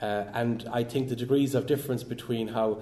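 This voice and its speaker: A man talks with an Irish accent. His pace is fairly quick. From Ireland. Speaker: professor. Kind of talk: lecture. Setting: academic event with audience. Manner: halting, many repeated words.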